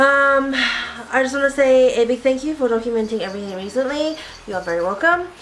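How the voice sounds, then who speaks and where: Over noticeable background noise, a woman speaks fairly quickly at a high pitch with ordinary pitch variation. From Australia. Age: 20s. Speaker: YouTuber. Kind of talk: casual Q&A video.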